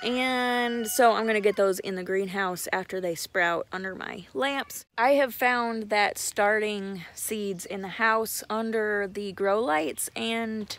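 A woman speaks at a very slow pace with ordinary pitch variation, the sound dry with no echo. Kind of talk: casual vlog chat. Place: garden. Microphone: phone near.

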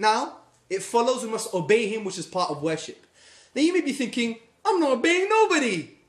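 A man speaks at a fairly quick pace with lively intonation and an animated tone, his voice carrying audible room echo over a quiet background. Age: 30s. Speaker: Islamic lecturer. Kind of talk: lecture. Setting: stage with audience. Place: classroom. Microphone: phone near.

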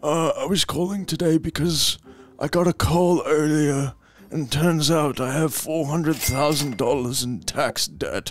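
Using a put-on character voice, a man speaks at a fairly high pitch. He takes it at a fairly slow pace.

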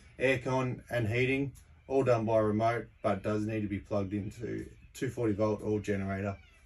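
A man talks at a moderate pace with a fairly low pitch and fairly even intonation. He has an unremarkable speaking voice. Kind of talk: casual walkthrough tour. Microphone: phone near.

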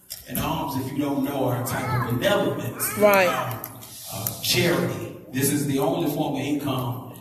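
A man at a moderate pace with ordinary pitch variation, with audible room echo and music in the background. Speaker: minister preaching. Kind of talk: sermon. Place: church.

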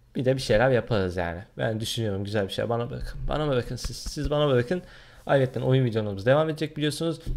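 This man speaks very fast, his intonation lively. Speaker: gaming YouTuber; gaming channel vlogger. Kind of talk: vlog, casual talk to camera. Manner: hesitant, many fillers. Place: home room. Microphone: webcam.

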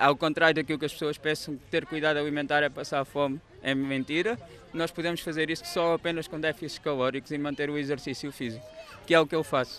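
The speech comes at a very fast pace with fairly even intonation. The sound is dry with no echo, over light background noise. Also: man, fairly high pitch for a man. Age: 30s. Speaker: firefighter and amateur runner. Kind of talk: interview. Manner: halting. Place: street. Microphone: handheld.

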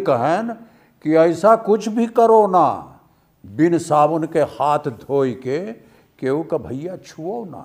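A man with a fairly high pitch speaks at a very slow pace with lively intonation against a quiet background. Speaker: film actor. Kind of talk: poetry reading. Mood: playful, expressive.

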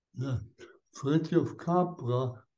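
Speaking with a German accent, a man talks at a very slow pace with ordinary pitch variation. His tone is dark and mellow, and somewhat breathy. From Austria. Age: 80s+. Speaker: Benedictine monk, spiritual teacher. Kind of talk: interview answer. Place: home room. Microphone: video call.

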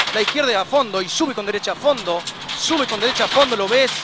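Through loud background noise, a man talks at a very fast pace, the sound dry with no echo. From Argentina. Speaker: rally co-driver. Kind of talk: rally pace notes read aloud to the driver. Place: car. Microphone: helmet.

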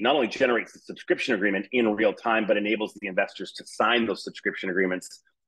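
The setting behind the man is quiet. His intonation is fairly even. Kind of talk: product presentation. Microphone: webcam.

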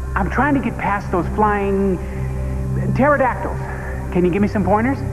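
A man speaking at a moderate pace over clear background music. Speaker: actor playing everyman Phil. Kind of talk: scripted infomercial dialogue. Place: studio.

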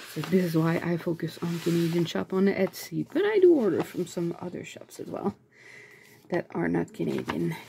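Her loudness swings widely as a woman talks at a moderate pace over light background noise. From Canada. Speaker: YouTuber and aspiring author; YouTuber. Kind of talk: casual unboxing vlog. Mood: delighted, cheerful. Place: home room. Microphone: phone near.

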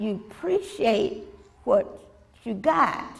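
A woman with a Southern US accent speaks in a high voice, her pitch swinging very widely over noticeable background noise. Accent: Southern American. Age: 80s+. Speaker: retired elementary school teacher. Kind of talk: interview answer.

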